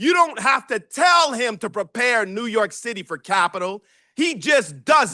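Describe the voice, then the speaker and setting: Projecting loudly in an American accent, a man with an extremely high pitch and a bright, sharp tone sounds animated, his pitch swinging very widely in a dry, close sound with no echo against a quiet background. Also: moderate pace. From Detroit area, Michigan. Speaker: professor. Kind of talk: lecture.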